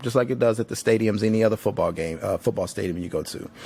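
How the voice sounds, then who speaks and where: A man speaks in a Southern US accent at a fairly quick pace. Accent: Southern country. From Tennessee, Nashville. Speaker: podcast host. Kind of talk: casual monologue. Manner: casual, filler-heavy.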